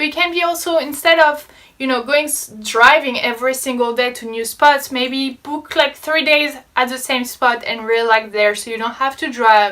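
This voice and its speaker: Speaking at a moderate pace with a French accent, a woman uses a raised, projected voice that is high-pitched, with a bright, sharp tone and ordinary pitch variation. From France. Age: 20s. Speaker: travel vlogger. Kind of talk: casual talk to camera.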